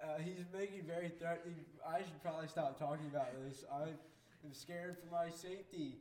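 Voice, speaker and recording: Against noticeable background noise, a man with a high pitch talks at a fairly quick pace with fairly even intonation. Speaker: podcast co-host. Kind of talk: casual chat. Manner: joking, sarcastic.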